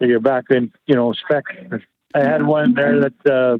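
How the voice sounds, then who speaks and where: In a Canadian accent, a man with a fairly high pitch speaks with fairly even intonation. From Canada, Winnipeg. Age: 60s. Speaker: truck driver and former mechanic. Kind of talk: interview. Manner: halting, many fillers.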